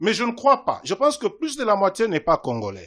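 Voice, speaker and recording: Against a quiet background, a man with a high pitch speaks with very wide pitch swings. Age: 60s. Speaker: invited speaker at student parliament debate. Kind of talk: public talk answering questions. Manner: formal.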